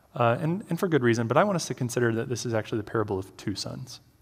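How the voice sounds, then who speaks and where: A man at a very fast pace, somewhat breathy, with lively intonation. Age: 30s. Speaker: campus minister, guest preacher. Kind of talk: sermon. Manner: hesitant with many fillers.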